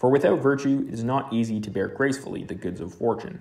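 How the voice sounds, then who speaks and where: Talking at a fairly quick pace, a man has an ordinary speaking voice with ordinary pitch variation. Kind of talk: literary audiobook reading of a philosophical text. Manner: measured, even-paced, formal.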